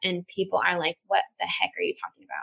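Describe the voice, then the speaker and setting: A woman with an American accent and a fairly quick pace. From California, San Francisco Bay Area. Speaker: graduate student and former chef. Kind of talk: casual chat.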